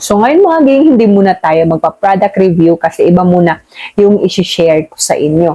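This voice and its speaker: A woman's plain, everyday voice, medium in pitch, at a moderate pace. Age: middle-aged. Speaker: YouTube vlogger. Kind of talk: casual chat. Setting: at home at night.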